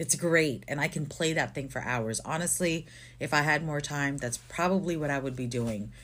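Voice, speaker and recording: This woman's pitch is very deep and low. Her voice carries vocal fry. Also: ordinary pitch variation, moderate pace. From Philippines. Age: 30s. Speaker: podcast co-host. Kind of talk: casual chat.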